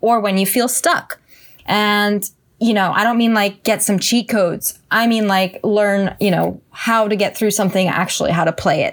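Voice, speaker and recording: A woman with a plain, everyday voice speaks at a medium pitch and a moderate pace, keeping her loudness very even. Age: 60s. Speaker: songwriter and musician. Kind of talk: casual chat.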